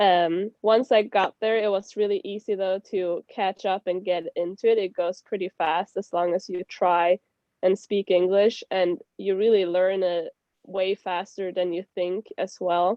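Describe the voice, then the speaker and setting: A woman's medium-pitched voice, monotone and flat in intonation, at a fairly slow pace. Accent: Swedish. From Sweden. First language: Swedish. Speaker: former au pair. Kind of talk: casual chat.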